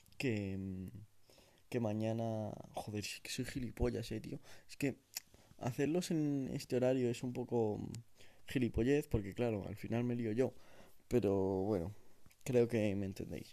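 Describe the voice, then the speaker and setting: At a fairly slow pace with long, frequent pauses, a man with a dark, mellow tone talks at a medium pitch and ordinary pitch variation. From Spain, Madrid region (sierra village). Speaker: amateur podcaster. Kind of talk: casual solo monologue. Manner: halting, many fillers.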